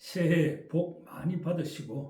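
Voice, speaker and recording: A man with a strong Gyeongsang accent, dark and mellow in tone with vocal fry, in audible room echo. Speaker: essay reader and commentator. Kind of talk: reading aloud; casual talk to viewers. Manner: intonation differs from standard Korean.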